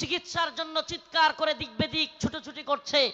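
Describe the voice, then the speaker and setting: In a raised, projected voice, a man speaks at an extremely high pitch. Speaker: Islamic preacher. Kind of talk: religious sermon at a public gathering. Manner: loud, forceful, impassioned.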